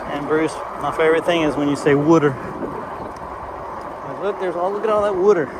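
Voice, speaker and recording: A man with an American accent talks at a very fast pace in a fairly high voice, with ordinary pitch variation, long and frequent pauses, and noticeable background noise. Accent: strong accent, implied Southern US. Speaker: vlogger. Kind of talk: casual rambling vlog. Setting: outdoors, riding an ebike.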